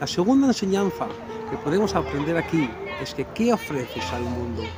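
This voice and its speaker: Music plays in the background as a man speaks at a moderate pace. The sound is dry, with no echo. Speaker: lay preacher. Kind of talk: short sermon meditation. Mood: calm, reflective. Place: garden. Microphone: phone near.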